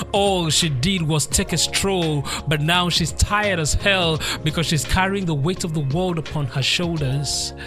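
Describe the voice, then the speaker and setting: Music plays underneath as the speaker goes at a fairly slow pace with hardly any pauses. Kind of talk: spoken word poetry performance.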